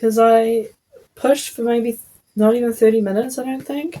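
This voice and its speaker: In a New Zealand accent, a woman speaks with a high pitch and a dark, mellow tone. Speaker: podcaster, new mother. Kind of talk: casual storytelling podcast. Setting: at home while breastfeeding. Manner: chatty, filler-heavy.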